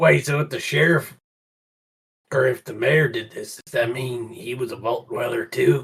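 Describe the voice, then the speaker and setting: A man puts on a raspy character voice at a medium pitch and moderate pace, with big swings in loudness. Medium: actual play. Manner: brash, casual.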